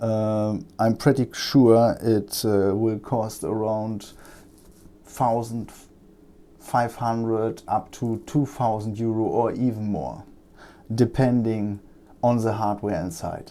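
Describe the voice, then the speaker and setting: In a very clean recording with a silent background, a man with a German accent talks very slowly at medium pitch, his dark, mellow tone kept fairly even in intonation and broken by long, frequent pauses. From Germany. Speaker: electronics repair technician. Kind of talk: tutorial. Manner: halting, many fillers.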